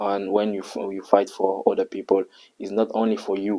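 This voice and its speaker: This man has a Congolese accent and a fairly low pitch, speaking at a moderate pace in a flat monotone. His tone is dark and mellow, and the sound is dry and close, with no echo. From Republic of the Congo. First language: French. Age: young. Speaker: university student. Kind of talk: interview answer.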